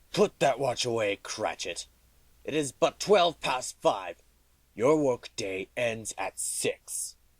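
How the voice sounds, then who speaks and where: A put-on character voice at a fairly slow pace. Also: man, fairly high pitch for a man. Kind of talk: radio drama. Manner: gruff, curt.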